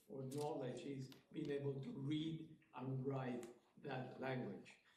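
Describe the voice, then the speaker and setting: This man's voice sits at a medium pitch, with a dark, mellow tone, a somewhat breathy quality and fairly even intonation. He speaks very slowly, and room echo is audible. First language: Spanish. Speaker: community member commenting at school meeting. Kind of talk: public comment. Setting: school committee meeting.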